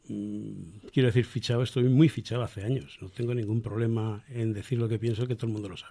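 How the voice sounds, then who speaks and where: A man's dark, mellow, somewhat breathy voice at a very fast pace, with hardly any pauses, fairly even intonation and big swings in loudness. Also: medium pitch for a man. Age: 70s. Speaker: republican association member. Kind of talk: radio interview. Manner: halting.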